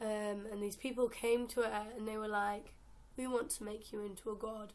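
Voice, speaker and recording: Flat and monotone, a woman talks at a fairly quick pace. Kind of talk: casual talk to camera. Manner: rambling; babbling.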